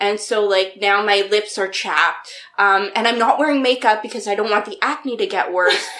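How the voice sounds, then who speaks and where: With noticeable background noise, a woman talks at a moderate pace in a medium pitch with ordinary pitch variation. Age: 20s. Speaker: comedian and actor. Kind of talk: casual chat. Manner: animated.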